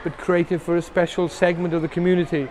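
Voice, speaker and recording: Noticeable background noise sits under a man's voice. He talks at a fairly quick pace with a high pitch. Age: 60s. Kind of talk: interview. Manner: repetitive, hesitant restarts.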